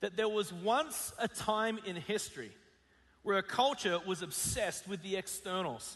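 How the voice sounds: Fairly even intonation in a natural reading voice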